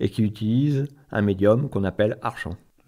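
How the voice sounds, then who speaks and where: A man at a fairly slow pace and medium pitch, with lively intonation, in a very clean recording against a silent background. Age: 60s. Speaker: local currency association co-president, former math teacher. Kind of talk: radio interview. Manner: hesitant, many fillers and repetitions.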